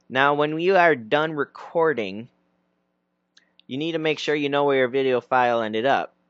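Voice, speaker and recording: Over a quiet background, a man talks at a moderate pace. His pitch variation is ordinary, and the sound is dry and close with no echo. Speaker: YouTube tutorial creator. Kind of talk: tutorial. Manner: loud. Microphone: external mic close to mouth.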